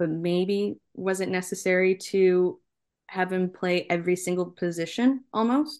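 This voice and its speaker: With a Canadian accent, a woman speaks at a fairly slow pace in a medium pitch, an ordinary speaking voice against a quiet background. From Canada. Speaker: soccer journalist. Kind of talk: interview.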